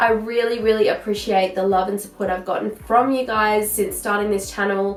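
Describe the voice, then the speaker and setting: A woman with an Australian accent speaks at a moderate pace and a medium pitch, with hardly any pauses. Her intonation stays monotone and flat over noticeable background noise. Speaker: parenting vlogger. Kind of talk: casual vlog chat. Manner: chatty.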